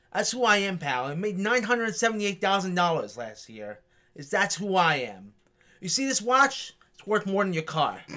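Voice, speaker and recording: A man speaks at a high pitch in a raised, projected voice with a bright, sharp tone. His intonation is lively and his pace is moderate. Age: young. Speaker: arena cashier. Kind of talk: casual interview chat.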